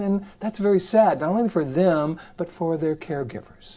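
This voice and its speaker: A man's voice comes across in a dark, mellow tone. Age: 60s. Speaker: psychologist and self-help video host. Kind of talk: direct-to-camera self-help talk. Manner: casual, conversational.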